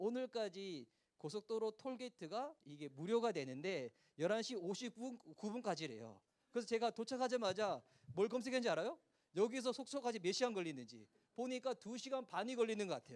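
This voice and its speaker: A man with a high voice speaks fairly quickly, animated and with lively intonation. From South Korea, Gyeongsang region. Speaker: pastor. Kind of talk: sermon. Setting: church youth retreat with audience. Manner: animated, interactive with audience.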